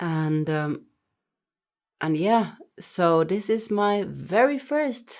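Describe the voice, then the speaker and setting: In a Norwegian accent, a woman talks with lively intonation. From Norway. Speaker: music reaction youtuber. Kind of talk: casual talk to camera. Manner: hesitant, many fillers.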